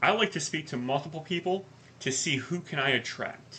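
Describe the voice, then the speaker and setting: The voice is loud, with a bright, sharp tone. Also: man. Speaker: life coach podcast co-host. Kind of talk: casual chat. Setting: live podcast.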